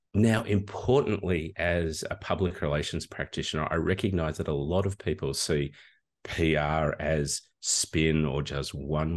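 In an Australian accent, a man talks at a moderate pace with a very deep, low pitch. His pitch varies in an ordinary way over a quiet background. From Australia, regional Victoria. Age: old. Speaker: communication lecturer. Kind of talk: interview. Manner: hesitant with fillers.

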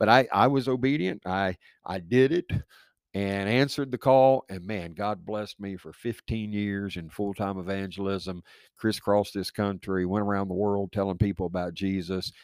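A man with an ordinary speaking voice, fairly low in pitch, with ordinary pitch variation and big swings in loudness, dry and close with no echo in a very clean recording with a silent background. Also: moderate pace. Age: 50s. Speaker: pastor. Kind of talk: casual interview.

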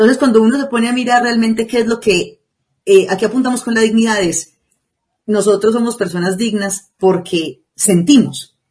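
A woman speaks at a moderate pace in a fairly high, somewhat breathy voice. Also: ordinary pitch variation. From Colombia, Antioquia (La Ceja). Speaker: podcast co-host. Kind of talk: casual discussion.

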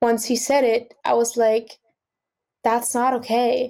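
A woman with an Austrian accent speaks at a fairly high pitch. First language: German. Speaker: singer-songwriter and music student. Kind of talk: casual interview conversation.

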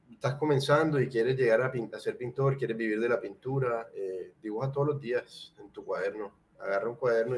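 Here a man talks at a fairly quick pace with a normal speaking voice. His pitch is medium. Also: big swings in loudness. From Colombia, Cartagena. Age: 30s. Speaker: painter. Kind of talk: casual interview chat.

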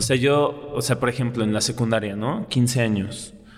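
Noticeable background noise fills the recording. A man's voice comes through it. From Mexico City. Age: 20s. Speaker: dance teacher and choreographer. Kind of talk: interview conversation. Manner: animated.

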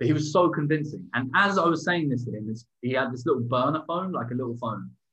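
With an English accent, a man speaks at a fairly quick pace. His voice sits at medium pitch with ordinary pitch variation. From England. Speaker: podcast co-host. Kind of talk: casual chat. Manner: halting.

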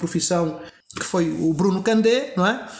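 Ordinary pitch variation and a moderate pace from a man, noticeable background noise behind. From Angola. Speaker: actor. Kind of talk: podcast interview. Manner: halting, many fillers and repetitions.

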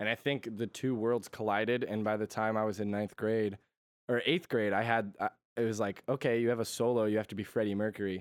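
In an unremarkable speaking voice, the words come at a fairly quick pace with fairly even intonation. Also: man, fairly low pitch for a man. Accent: American. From Connecticut, US. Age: 20s. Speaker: musician. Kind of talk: casual chat.

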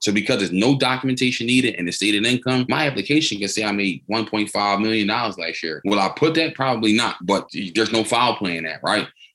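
With noticeable background noise behind it, the speech runs very fast with hardly any pauses and ordinary pitch variation. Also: man, fairly low pitch for a man. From Philadelphia, US. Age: 20s. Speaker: real estate investor. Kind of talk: podcast interview.

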